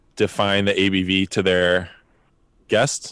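In a very clean recording with a silent background and a dry, close sound with no echo, a man speaks very slowly at a fairly low pitch with a bright, sharp tone. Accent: American. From New Jersey. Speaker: drinks company founder. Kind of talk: casual chat.

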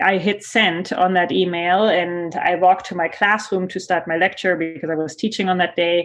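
A woman's fairly low voice with a German accent, monotone and flat, at a moderate pace with hardly any pauses over a quiet background. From Germany. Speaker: sociology professor. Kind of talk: interview.

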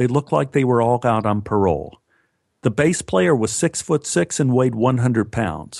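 The speaker reads in an unforced reading voice with ordinary pitch variation. The background is quiet.

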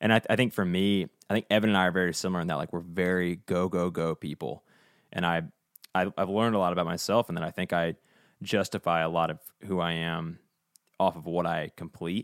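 A man's very deep, low voice with an American accent at a fairly quick pace, fairly even in intonation, on a very clean, dry, close recording with a silent background and no echo. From Virginia, US South. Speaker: podcast co-host, musician. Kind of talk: casual chat.

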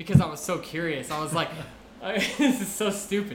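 Noticeable background noise and audible room echo surround a man's voice. He talks at a fairly quick pace with lively intonation. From Mexico. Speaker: intern. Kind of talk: casual chat.

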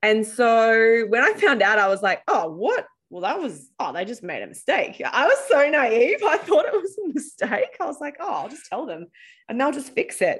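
A woman's high voice in an Australian accent, moderately paced, with very wide pitch swings and big swings in loudness on a very clean recording with a silent background. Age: 30s. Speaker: startup founder, former journalist. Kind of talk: casual interview. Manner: casual, conversational.

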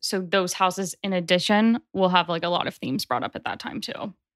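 In an American accent, a woman with an unremarkable speaking voice talks at a medium pitch and fairly even intonation, the sound dry and close with no echo. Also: very clean recording, silent background. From US South, Nashville, Tennessee. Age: 20s. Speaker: astrologer. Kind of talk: casual interview chat.

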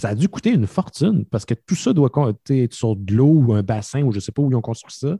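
A man with a medium-pitched, somewhat breathy voice and a dark, mellow tone speaks at a moderate pace with lively intonation, recorded very cleanly against a silent background with a dry, close sound and no echo. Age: 30s. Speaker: podcaster guest. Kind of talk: casual chat.

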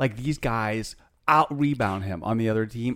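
In a very clean recording with a silent background, a man with an ordinary speaking voice talks at a moderate pace and a medium pitch with ordinary pitch variation. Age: 50s. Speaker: podcast co-host. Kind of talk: casual chat.

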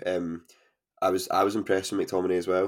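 A man talks at a fairly quick pace in a Scottish accent. The recording is very clean with a silent background. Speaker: podcast host. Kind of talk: casual chat. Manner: monotone.

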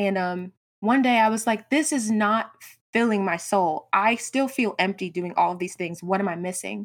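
A woman with an American accent talks at a moderate pace in an ordinary speaking voice, her medium pitch showing ordinary variation. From US South. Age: 20s. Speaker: graphic designer and entrepreneur. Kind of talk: interview.

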